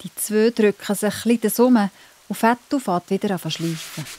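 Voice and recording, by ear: A woman talks at a fairly quick pace and medium pitch, in a slightly mellow tone with ordinary pitch variation. The sound is dry and close, with no echo.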